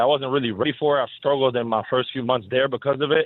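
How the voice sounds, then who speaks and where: Speaking at a very fast pace in a Spanish accent, a man holds a medium pitch with ordinary pitch variation. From Dominican Republic and Belgium. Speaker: professional basketball player. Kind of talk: radio interview.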